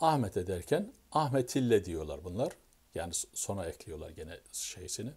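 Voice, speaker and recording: A somewhat breathy man speaks at a fairly slow pace and a fairly low pitch. His voice shows very wide pitch swings and big swings in loudness. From Turkey. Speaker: YouTuber. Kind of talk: casual explanatory monologue. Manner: halting, self-correcting. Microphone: phone near.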